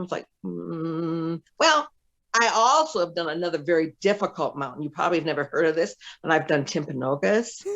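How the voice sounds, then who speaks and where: A woman with an unremarkable speaking voice and a fairly low pitch. She talks at a fairly quick pace with lively intonation. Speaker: former business executive and speaker. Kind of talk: interview storytelling.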